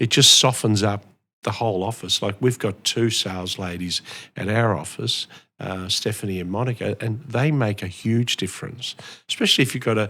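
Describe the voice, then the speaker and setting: Bright and sharp in tone, a man with an Australian accent speaks at a fairly low pitch and a moderate pace. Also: ordinary pitch variation, very clean recording, silent background. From Melbourne, Australia (born in Italy, arrived 1964). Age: 60s. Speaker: real estate auctioneer. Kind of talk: interview.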